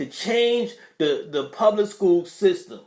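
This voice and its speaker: A high-pitched man with a New York accent and very wide pitch swings. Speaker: podcast host reading live chat. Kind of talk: casual livestream talk. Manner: hesitant, many fillers and repeats.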